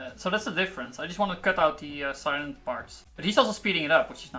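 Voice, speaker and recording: The speech runs at a very fast pace with music in the background. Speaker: programmer live-streaming coding. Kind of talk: live coding stream talk. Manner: halting, many fillers.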